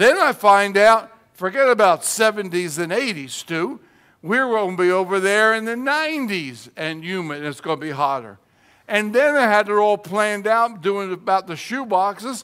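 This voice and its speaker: Here a man speaks with a high pitch and a bright, sharp tone. His intonation is lively, and the recording is very clean with a silent background. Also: moderate pace. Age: 70s. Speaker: retired pastor and missionary. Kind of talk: sermon.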